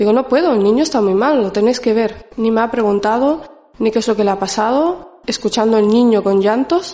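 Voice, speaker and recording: A woman talks at a fairly quick pace and fairly high pitch, with ordinary pitch variation and very even loudness. Noticeable background noise sits behind her. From Morocco, raised in the Canary Islands from about age five. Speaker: community advocate. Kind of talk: testimony.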